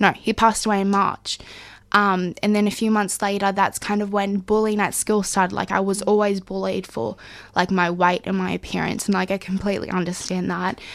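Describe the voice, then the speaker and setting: In an Australian accent, a woman speaks fairly quickly at a medium pitch with monotone, flat intonation. The recording is very clean, with a silent background. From Far North Queensland, Australia. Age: 20s. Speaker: community radio presenter. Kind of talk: personal testimony interview. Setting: radio studio.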